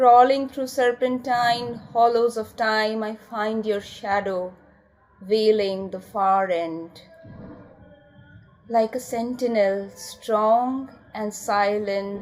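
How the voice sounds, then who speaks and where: Music plays behind a woman who speaks at a very slow pace, her pitch fairly high and her intonation fairly even. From India. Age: 40s. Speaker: poet. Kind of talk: poetry reading.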